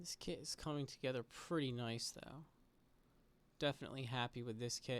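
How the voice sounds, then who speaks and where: A soft-spoken man talks at a moderate pace and medium pitch with fairly even intonation and long, frequent pauses. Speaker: model kit builder / streamer. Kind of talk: casual relaxed commentary while building.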